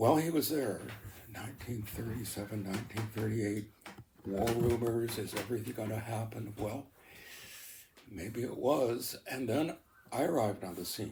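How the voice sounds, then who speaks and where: A man with a Canadian accent, somewhat breathy, dark, mellow in tone, at a medium pitch with ordinary pitch variation, a moderate pace, and long, frequent pauses. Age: 80s+. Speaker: interviewee on local history. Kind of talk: oral history interview. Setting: at home by the lake. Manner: halting, many fillers.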